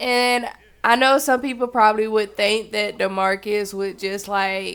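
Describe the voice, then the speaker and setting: This woman has a medium pitch and ordinary pitch variation. She speaks at a fairly slow pace. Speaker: Sims gameplay narrator. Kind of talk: casual gameplay commentary. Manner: animated.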